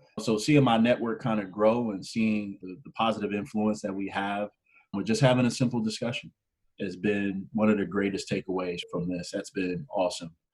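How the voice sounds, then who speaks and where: A man's fairly low-pitched, ordinary speaking voice, with fairly even intonation and big swings in loudness. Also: moderate pace. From US Midwest, Canton, Ohio. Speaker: urban planner and podcaster. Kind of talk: interview.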